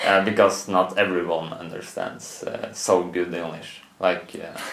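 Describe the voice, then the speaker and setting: A man with a Norwegian accent speaks at a fairly slow pace in a very deep, low pitch. His intonation is monotone and flat, his loudness swings widely, and background noise is noticeable. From Norway. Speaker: student. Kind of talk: interview. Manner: halting.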